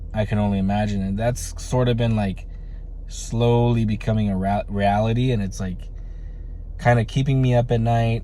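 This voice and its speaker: In a medium pitch, a man speaks at a moderate pace with monotone, flat intonation, amid noticeable background noise and audible room echo. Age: 30s. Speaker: vlogger. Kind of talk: casual vlog monologue. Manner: halting, many fillers.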